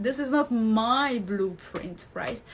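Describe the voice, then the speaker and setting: Her voice fairly high and somewhat breathy, a woman speaks very slowly with lively intonation. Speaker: hypnotherapist and life coach. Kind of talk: talking-head video with course pitch. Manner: pauses to find words.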